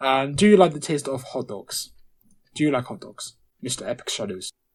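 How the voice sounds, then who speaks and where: A man with a British accent speaks at a fairly slow pace. The recording is very clean, with a silent background. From Britain. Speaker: podcast co-host. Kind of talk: casual chat.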